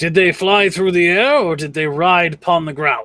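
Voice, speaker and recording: A put-on character voice at a moderate pace. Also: man. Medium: actual play. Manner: archaic, formal.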